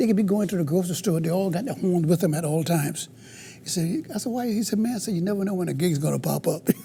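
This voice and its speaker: A man talks very fast in a high pitch with a Southern US accent. His tone is dark and mellow, with ordinary pitch variation. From US South, Carolina. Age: 70s. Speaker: blues guitarist. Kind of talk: interview.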